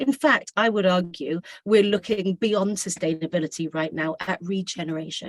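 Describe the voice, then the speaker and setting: Speaking with a British accent at medium pitch, a woman keeps a moderate pace and ordinary pitch variation, recorded with a dry, close sound and no echo. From Britain. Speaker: school administrator, service learning director. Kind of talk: presentation to parents.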